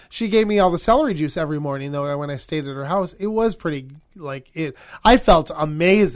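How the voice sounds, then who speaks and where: In a very clean recording with a silent background, a man with a normal speaking voice and an American accent talks fairly quickly at a fairly high pitch, with lively intonation and big swings in loudness. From Wisconsin, US. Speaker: podcast co-host. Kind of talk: casual chat; event announcements.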